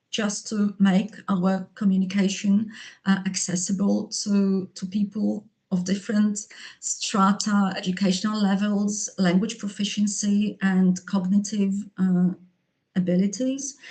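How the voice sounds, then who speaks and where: Dark and mellow, a woman's medium-pitched voice is somewhat breathy. She talks at a fairly slow pace with flat, monotone intonation. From Poland. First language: Polish. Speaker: linguist and English teacher. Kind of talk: conference presentation. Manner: halting, many fillers and repetitions.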